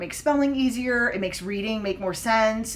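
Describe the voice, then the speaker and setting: Fairly high-pitched, a woman with an American accent talks at a fairly quick pace with ordinary pitch variation, audible room echo around her. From Oklahoma and Texas, US. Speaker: English language teacher. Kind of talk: live-stream lesson. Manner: casual, many fillers (um, uh, like).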